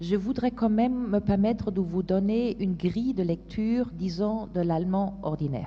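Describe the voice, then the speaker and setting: A woman with a German accent, somewhat breathy, dark and mellow in tone, at a moderate pace with ordinary pitch variation. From Germany. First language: German (speaking French). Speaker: policy expert panelist. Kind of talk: panel discussion. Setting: conference stage with audience. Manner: halting, many hesitations.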